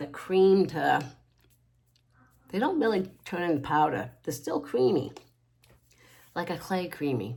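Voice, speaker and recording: A woman with a lively, bouncing intonation. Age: 60s. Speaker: makeup tutorial creator. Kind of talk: makeup tutorial. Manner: casual, rambling self-corrections.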